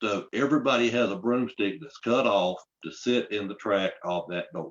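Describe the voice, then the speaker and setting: A man with a South Carolina accent, lively in intonation, at a fairly slow pace. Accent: Southern US (South Carolina). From US South, South Carolina upstate. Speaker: storyteller. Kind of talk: storytelling to an audience. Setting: live online library event.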